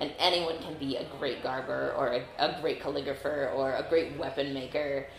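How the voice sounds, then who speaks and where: Speaking with an American accent and hardly any pauses, a woman uses a very deep, low pitch amid audible room echo and noticeable background noise. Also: fairly even intonation, moderate pace. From Northern California. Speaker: combat sport knight. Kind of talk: interview.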